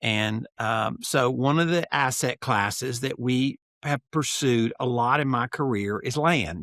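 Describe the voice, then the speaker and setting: A man's plain, everyday voice, medium in pitch with ordinary pitch variation, dry and close with no echo. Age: 60s. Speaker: note and land investor. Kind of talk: podcast interview.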